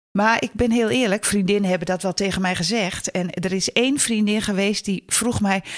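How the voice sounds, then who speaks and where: A woman speaks at a medium pitch and a moderate pace. The sound is dry and close with no echo, though noticeable background noise is present. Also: very even loudness. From northern Netherlands. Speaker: lecturer and stepfamily counsellor. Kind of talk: interview.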